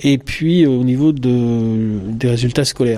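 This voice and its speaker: The pitch shows ordinary variation. Delivery is fairly slow. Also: man. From France. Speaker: psychologist. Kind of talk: interview. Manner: halting.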